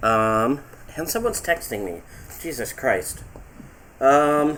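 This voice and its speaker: A loud man with a fairly high pitch, very wide pitch swings and a very slow pace. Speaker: livestreamer reading fan fiction. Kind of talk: casual chat. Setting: livestream with voice chat.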